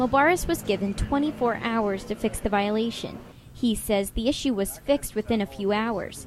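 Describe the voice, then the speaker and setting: A woman speaks at a moderate pace with a fairly high pitch and ordinary pitch variation. Her loudness stays very even while music plays in the background. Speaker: television news reporter. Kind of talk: broadcast news reporter package narration.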